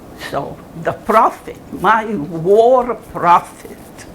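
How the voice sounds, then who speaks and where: A woman at medium pitch, very slow pace and lively intonation, with audible room echo and noticeable background noise. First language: German. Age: 80s+. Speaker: Holocaust survivor and author. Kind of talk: talk with Q&A to students. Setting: college classroom audience.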